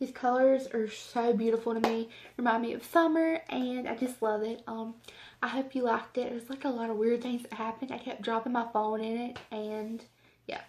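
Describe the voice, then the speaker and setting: With an American accent, a woman speaks at a fairly high pitch in monotone, flat intonation. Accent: southern US, stronger when speaking slowly. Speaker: beauty vlogger. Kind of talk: makeup tutorial. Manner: casual, rambling with fillers.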